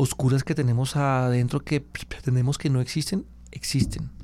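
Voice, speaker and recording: A man's fairly high pitch carries his words at a moderate pace. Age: 40s. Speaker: journalist. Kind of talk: interview. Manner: halting.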